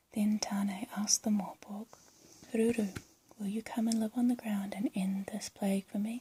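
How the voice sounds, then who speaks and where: The speaker is soft-spoken. The pace is moderate. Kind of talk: soft-spoken ASMR story reading. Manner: soft-spoken, relaxing.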